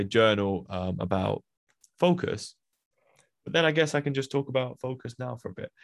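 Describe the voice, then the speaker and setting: A man's medium-pitched voice with a Birmingham accent, lively intonation and a fairly quick pace. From England, Birmingham. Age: 20s. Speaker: podcast host. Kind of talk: solo monologue. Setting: home recording.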